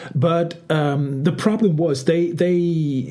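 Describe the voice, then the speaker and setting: A man's voice amid noticeable background noise. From Denmark. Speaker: podcast host. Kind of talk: casual chat. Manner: halting.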